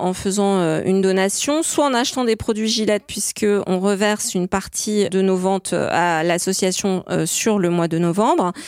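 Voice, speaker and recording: Speaking at a fairly slow pace with hardly any pauses, a woman keeps a medium pitch, ordinary pitch variation and very even loudness. The recording is very clean, with a silent background. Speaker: marketing and communications director. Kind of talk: radio interview. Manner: at ease at the mic; hesitant, frequent repetitions.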